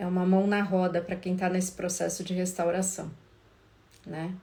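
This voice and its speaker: A soft-spoken woman's somewhat breathy voice, dark and mellow in tone, at a moderate pace amid audible room echo. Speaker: couples therapist. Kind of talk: live stream talk. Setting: Instagram live. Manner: casual.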